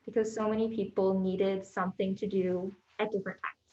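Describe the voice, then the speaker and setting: A woman talks in a soft-spoken way. Her intonation stays monotone and flat. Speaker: library staff member. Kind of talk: meeting report. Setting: board meeting room, hybrid in-person and online.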